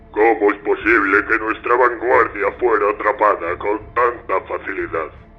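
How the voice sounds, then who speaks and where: A man uses a put-on character voice at medium pitch. His pace is moderate. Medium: read story. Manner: terse, clipped.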